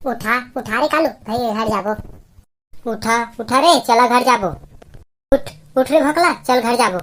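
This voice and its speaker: In a cartoonish character voice, a woman speaks at a high pitch with long, frequent pauses. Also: moderate pace. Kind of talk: comic cartoon voice.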